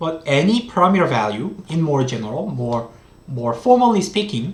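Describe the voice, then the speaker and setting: A moderate pace with a Korean accent. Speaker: economics professor. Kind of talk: lecture. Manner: halting.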